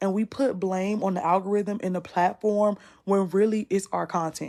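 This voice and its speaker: With an American accent, a woman in an unremarkable speaking voice talks at a medium pitch with fairly even intonation over a quiet background. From US South, North Carolina (Rocky Mount). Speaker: content creation coach. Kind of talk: live masterclass / Q&A. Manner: casual, conversational.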